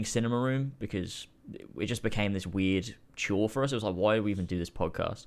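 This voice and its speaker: A man with a fairly low pitch uses an ordinary speaking voice with ordinary pitch variation. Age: 20s. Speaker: YouTuber. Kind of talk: casual chat.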